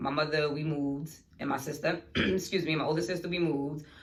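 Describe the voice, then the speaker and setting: A woman with a very deep, low pitch speaks in a flat monotone, with audible room echo. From New York City (Bronx/Harlem). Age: 30s. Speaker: podcast host. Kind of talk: casual chat.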